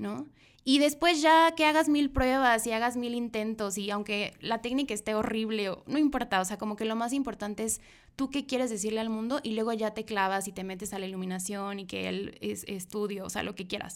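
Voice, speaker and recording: A woman's fairly high voice, an unremarkable speaking voice, at a fairly quick pace with ordinary pitch variation, in a very clean recording with a silent background. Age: 20s. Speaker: photographer. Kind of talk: interview. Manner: casual, with many fillers.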